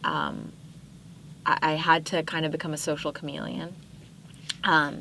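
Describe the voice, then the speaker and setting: Speaking at a fairly slow pace, a woman uses a very deep, low pitch with vocal fry. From Southern California (Palos Verdes), after early childhood in Pakistan. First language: Urdu. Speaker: podcast guest. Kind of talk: casual interview chat.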